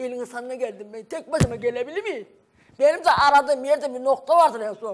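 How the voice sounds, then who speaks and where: Talking at a fairly quick pace, a woman with a high pitch shows ordinary pitch variation and big swings in loudness over light background noise. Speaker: mother of missing man; TV guest. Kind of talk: heated debate. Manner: emotional. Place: studio.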